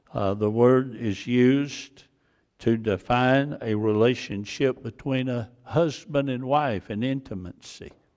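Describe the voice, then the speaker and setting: Medium in pitch, a man talks with a Georgia accent. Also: ordinary pitch variation, fairly slow pace. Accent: US South (Georgia). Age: 70s. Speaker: pastor. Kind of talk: sermon. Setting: church.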